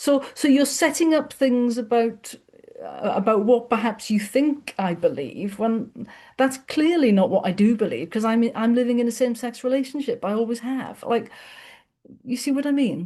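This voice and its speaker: This woman speaks at a moderate pace. Her high voice has a dark, mellow tone. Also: ordinary pitch variation. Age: 50s. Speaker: podcast host. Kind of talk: casual chat. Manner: halting.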